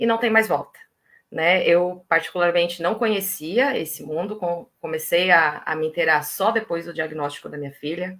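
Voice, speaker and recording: This woman speaks at a moderate pace with a fairly low pitch and ordinary pitch variation. Her tone is bright and sharp. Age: 30s. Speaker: mother of a child with diabetes. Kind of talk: live stream interview.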